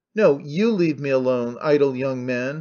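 A man shouts in a put-on character voice with a fairly high pitch. He keeps a moderate pace and ordinary pitch variation. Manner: shouting, defiant.

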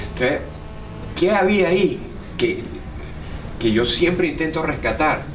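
Fairly slow speech in a Venezuelan accent, at very even loudness with long, frequent pauses, plus audible room echo and light background noise. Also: man, high pitch for a man, ordinary pitch variation. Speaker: comedian and radio host; comedian, radio host. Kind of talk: interview answer. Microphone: handheld.

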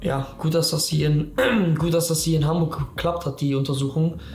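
With audible room echo and light background noise, a monotone, flat voice goes at a moderate pace. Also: man. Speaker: vlogger. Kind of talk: casual vlog chat. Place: home room.

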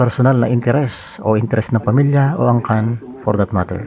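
An unremarkable speaking voice from a man, medium in pitch and with ordinary pitch variation. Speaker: political commentary vlogger. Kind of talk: scripted monologue commentary.

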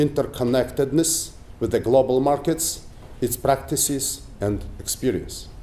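With a Mongolian accent, a man with a fairly high voice and a dark, mellow tone speaks at a moderate pace with ordinary pitch variation. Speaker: politician and economist. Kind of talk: lecture. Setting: stage with audience. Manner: formal. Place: hall. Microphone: podium.

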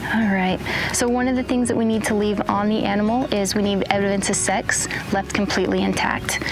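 Over clear background music, a woman talks at a fairly quick pace with ordinary pitch variation in a dry sound with no echo. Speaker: wildlife officer instructor. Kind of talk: tutorial. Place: open country.

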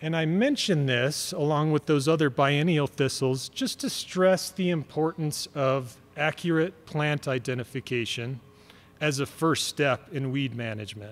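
With music in the background, a man with a fairly high pitch speaks at a fairly slow pace, his pitch varying in an ordinary way. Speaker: county weed program manager. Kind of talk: presentation to landowners. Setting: room with audience. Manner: soft-spoken. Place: hall. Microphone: podium.

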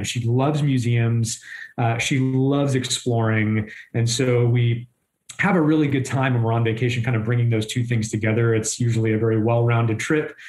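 A man's somewhat breathy, medium-pitched voice at a moderate pace, with fairly even intonation, very even loudness, and audible room echo. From southern Maine, New England. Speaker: chief of staff. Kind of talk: interview.

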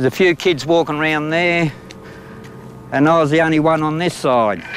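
At a moderate pace, a man speaks in a dry recording with no echo and light background noise. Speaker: witness. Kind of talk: interview answer. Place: street.

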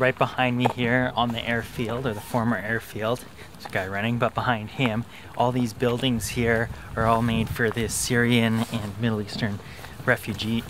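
A man talks in a flat, monotone way. The sound is dry with no echo, but background noise is noticeable. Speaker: travel vlogger. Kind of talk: casual vlog chat. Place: open country. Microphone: phone near.

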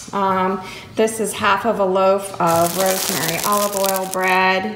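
Speaking at a very slow pace, a woman is heard with light background noise and audible room echo. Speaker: home vlogger. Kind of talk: casual vlog chat. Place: kitchen. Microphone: phone near.

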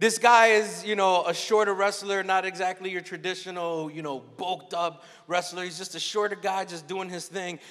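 The man's voice is high-pitched, at a moderate pace. The background is quiet. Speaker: conference keynote speaker. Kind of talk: sermon. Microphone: handheld.

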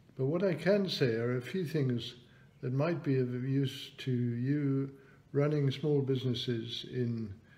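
Talking at a fairly slow pace in a British accent, a man has medium pitch, ordinary pitch variation and a dark, mellow tone. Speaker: economist and business chairman. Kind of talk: online talk with Q&A. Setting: video call.

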